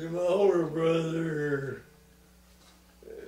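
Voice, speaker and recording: Noticeable background noise sits behind a man with a fairly high pitch and an American accent. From Western North Carolina. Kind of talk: interview answer.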